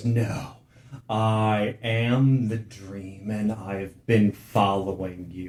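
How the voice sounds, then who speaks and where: A man uses a put-on character voice, fairly low in pitch. He speaks at a very slow pace. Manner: ominous.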